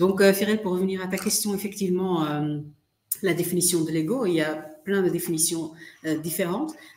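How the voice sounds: With a slightly mellow tone and a fairly low pitch, a woman talks at a fairly quick pace with ordinary pitch variation amid audible room echo.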